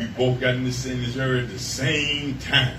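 A man speaks at a moderate pace in a medium pitch, with noticeable background noise. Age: 60s. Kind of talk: sermon. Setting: church camp meeting with congregation. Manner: animated.

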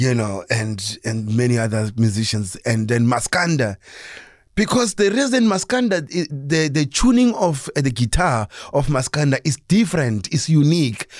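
With a South African accent, a man speaks at a fairly slow pace. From South Africa, Soweto (born in Limpopo). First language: Sepedi. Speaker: jazz guitarist and music educator. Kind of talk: radio interview. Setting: radio studio. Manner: hesitant, many fillers.

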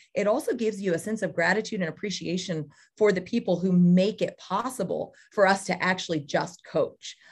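Over a silent background in a very clean recording, a woman speaks at a fairly quick pace in a somewhat breathy voice. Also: medium pitch for a woman, ordinary pitch variation. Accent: American. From California, Central Valley. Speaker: college cross country head coach. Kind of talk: podcast interview.

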